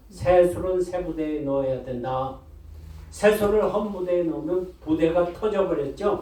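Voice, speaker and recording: Speaking at a fairly slow pace with ordinary pitch variation, a man with a high pitch is heard over noticeable background noise and audible room echo. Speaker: pastor. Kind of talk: sermon.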